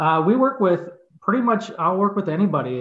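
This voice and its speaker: Speaking at a moderate pace, a man talks with a Chicago accent. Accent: Chicago-area American. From US Midwest, northern Illinois suburbs. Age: 50s. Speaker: insurance agency owner and sports announcer. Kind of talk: casual interview.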